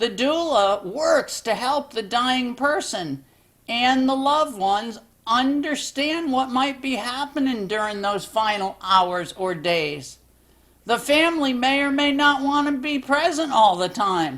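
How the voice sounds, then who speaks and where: In a cartoonish character voice, a female-sounding speaker talks fairly slowly at a high pitch. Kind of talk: educational explainer, one side of a phone call. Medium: puppet. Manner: calm, patient.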